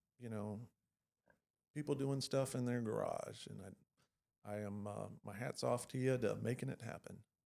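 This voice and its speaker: The speech comes with a Texan accent. Long pauses break it up frequently. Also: man, moderate pace. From Texas. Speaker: podcast host, veteran. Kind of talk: casual chat.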